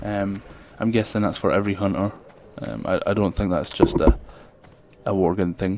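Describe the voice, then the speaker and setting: Amid noticeable background noise, a man with a strong Scottish accent speaks at a moderate pace and fairly low pitch, his intonation fairly even and his pauses long and frequent. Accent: thick Scottish. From Scotland. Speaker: gaming video creator. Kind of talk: gameplay commentary. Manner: hesitant, many fillers.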